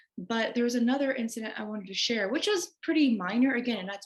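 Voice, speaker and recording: At a very fast pace, a woman with an American accent speaks with ordinary pitch variation over noticeable background noise. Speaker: interviewee. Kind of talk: interview, personal testimony.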